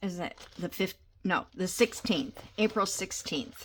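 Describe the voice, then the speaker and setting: A woman's medium-pitched voice at a very slow pace. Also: very clean recording, silent background. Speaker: junk journal crafter. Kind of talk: casual vlog chat. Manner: halting, many fillers.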